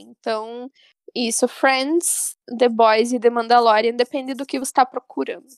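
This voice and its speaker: In a dry, close sound with no echo, a woman speaks at a high pitch. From Santa Catarina interior, Brazil (Porto União). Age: 20s. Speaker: podcast host, English teacher. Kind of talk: casual chat.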